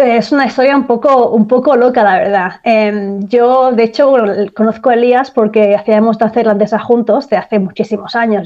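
A woman with an ordinary speaking voice talks at a moderate pace, her pitch fairly high with ordinary variation and her loudness very even. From Spain, Barcelona (Catalonia). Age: 30s. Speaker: dancer. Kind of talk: casual chat.

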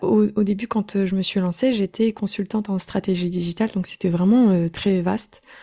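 A woman with a dark, mellow tone speaks at medium pitch and a fairly slow pace, with fairly even intonation. The sound is dry and close with no echo, in a very clean recording with a silent background. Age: 20s. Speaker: online business coach. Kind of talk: casual interview.

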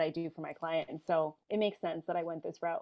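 Here a woman talks very fast. Her pitch is fairly low. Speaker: personal branding consultant. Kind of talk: casual interview chat.

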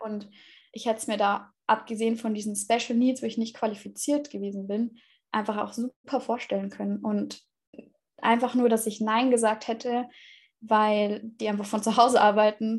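A woman's somewhat breathy, fairly high-pitched voice in a monotone, flat intonation. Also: moderate pace, very clean recording, silent background. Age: 20s. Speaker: former au pair, student. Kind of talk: interview. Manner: hesitant with fillers.

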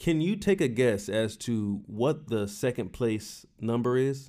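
Lively intonation from a man at a medium pitch. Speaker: baseball podcast co-host. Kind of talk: casual chat. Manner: loud.

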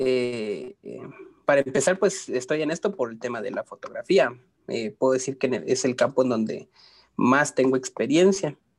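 In an unremarkable speaking voice, a man talks at a medium pitch and moderate pace with lively intonation, in a dry, close sound with no echo. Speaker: graphic designer. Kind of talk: casual chat.

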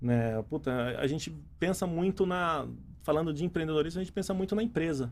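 A man talks in an unremarkable speaking voice. His pitch is fairly high, with ordinary variation. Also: fairly quick pace. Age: 30s. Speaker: entrepreneur and engineer. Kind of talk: casual interview.

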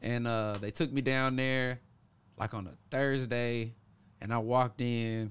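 This man has an ordinary speaking voice of medium pitch with an American accent and fairly even intonation. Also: fairly slow pace. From US South, Memphis, Tennessee. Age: 30s. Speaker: pro boxer and boxing coach. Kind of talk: casual interview.

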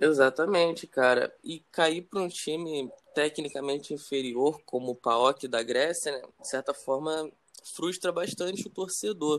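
A man speaks in a normal speaking voice, fairly high in pitch. He talks at a fairly slow pace with ordinary pitch variation. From Brazil. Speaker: football podcast host, club fan. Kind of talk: casual interview chat.

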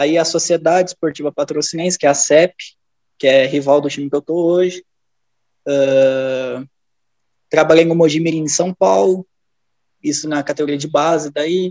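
Moderate pace, fairly even intonation and long, frequent pauses, in a dry, close sound with no echo. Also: man, fairly high pitch for a man. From Rio Grande do Sul, Brazil (near Novo Hamburgo). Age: 20s. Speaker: football performance analyst. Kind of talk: casual chat.

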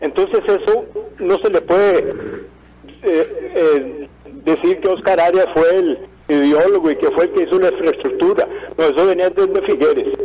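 A man at a moderate pace with long, frequent pauses and very even loudness, against noticeable background noise. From Costa Rica, Heredia. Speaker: caller. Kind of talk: phone-in opinion.

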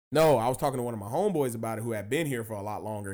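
A man with a dark, mellow tone is captured in a very clean recording with a silent background. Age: 20s. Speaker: comedy podcast host. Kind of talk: casual chat. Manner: animated.

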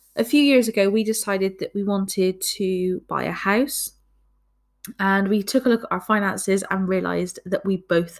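A woman with a Bristol accent speaks at a medium pitch and fairly slow pace with fairly even intonation. The recording is very clean, with a silent background. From Bristol, England. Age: 20s. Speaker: podcast host. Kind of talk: casual monologue.

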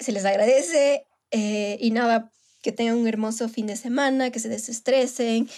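With a plain, everyday voice, a woman speaks at a fairly slow pace, her pitch fairly high and her intonation fairly even. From Ecuador, Manabí. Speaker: podcast co-host. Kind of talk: casual chat. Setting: recorded remotely, separately.

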